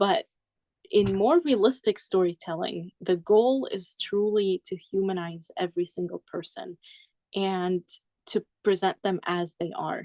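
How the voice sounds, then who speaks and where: In a dry, close sound with no echo, a woman at medium pitch speaks fairly slowly in a dark, mellow tone with ordinary pitch variation. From Syria. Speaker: poet and speaker. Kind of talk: conversational interview.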